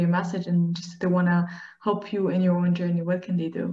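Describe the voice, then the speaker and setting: This woman talks at a fairly quick pace in a medium pitch, her dark, mellow tone somewhat breathy. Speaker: podcast host. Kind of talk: interview conversation.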